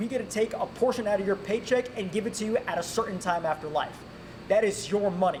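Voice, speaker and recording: Against noticeable background noise, a man with an American accent talks at a very fast pace, with a high pitch, ordinary pitch variation and an animated tone. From North Carolina. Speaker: congressional candidate. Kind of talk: candidate forum.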